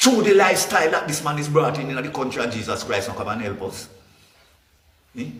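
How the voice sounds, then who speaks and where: Someone with a Jamaican accent talks at a very fast pace, using very wide pitch swings. Long, frequent pauses break up the speech, and audible room echo surrounds it. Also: man, fairly high pitch for a man. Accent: Jamaican Patois-inflected English. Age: 60s. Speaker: political commentator. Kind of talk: impassioned rant. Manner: animated.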